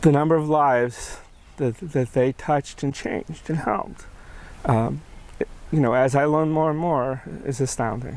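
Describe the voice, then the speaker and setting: A man with an American accent talks at a moderate pace, his pitch fairly high and his intonation fairly even. Long pauses come often. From Charlottesville, Virginia. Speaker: bike safety advocate, bereaved father. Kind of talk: interview answer.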